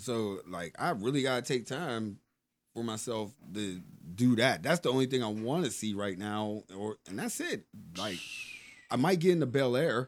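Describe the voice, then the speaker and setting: Using a normal speaking voice, a man talks at a moderate pace and medium pitch with lively intonation, captured in a very clean recording with a silent background. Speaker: podcast co-host. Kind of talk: casual banter, comedic rant.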